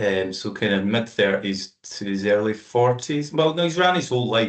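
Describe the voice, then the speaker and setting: A Scottish-accented man talks at a moderate pace with medium pitch. His intonation is lively. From Scotland, Aberfoyle (Stirlingshire). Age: 40s. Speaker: amateur endurance runner. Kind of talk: casual interview chat.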